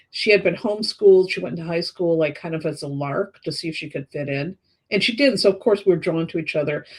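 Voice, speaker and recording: This woman has a plain, everyday voice. Her fairly low pitch comes with lively intonation. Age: 60s. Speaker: tarot reader and astrologer. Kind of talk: casual interview chat.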